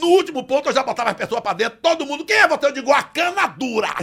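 Projecting a raised voice over background music, a man speaks at an extremely high pitch. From Brazil, Bahia (Salvador). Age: 60s. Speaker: comedian. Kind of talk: casual chat.

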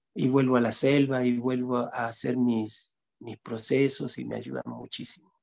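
In a monotone, flat delivery, a man speaks fairly slowly at a medium pitch. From Chile, long years in Ecuador. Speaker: healer and shamanic music maker. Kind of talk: casual interview. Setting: video call. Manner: halting, with many repeated words.

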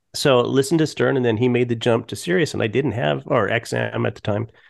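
Talking at a very fast pace, a man with a medium pitch, ordinary pitch variation and vocal fry comes through in a very clean recording with a silent background. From Colorado. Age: 50s. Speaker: podcast host and TV producer. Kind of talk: casual chat.

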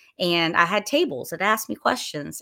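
A woman with a Southern US accent speaks in a bright, sharp tone. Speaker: wine collection manager and podcaster. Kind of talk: casual solo talk to a livestream audience. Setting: live stream with camera, at home. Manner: rambling, casual, many filler words.

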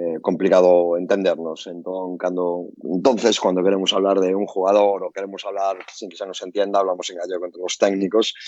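Speaking at a moderate pace with fairly even intonation, a man with a Galician accent has a very deep, low voice. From Galicia, Spain. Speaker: basketball coach. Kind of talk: casual chat.

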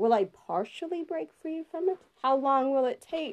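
At a moderate pace, a woman speaks in a high voice, the sound dry and close with no echo. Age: 20s. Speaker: solo podcaster. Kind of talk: personal monologue. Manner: halting.

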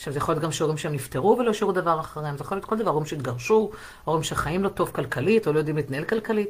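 Somewhat breathy, a woman talks at a very fast pace with lively intonation. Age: 40s. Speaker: sex therapist. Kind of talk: live stream monologue.

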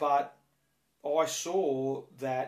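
A man with an Australian accent talks at a medium pitch with fairly even intonation. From Australia, Penrith (western Sydney). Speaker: baseball coach. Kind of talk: interview. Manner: halting, repeats words.

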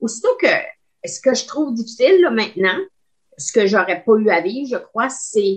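A woman speaks somewhat breathily at a fairly slow pace. Her fairly high voice moves in very wide pitch swings. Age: 60s. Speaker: retired teacher. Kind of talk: casual chat.

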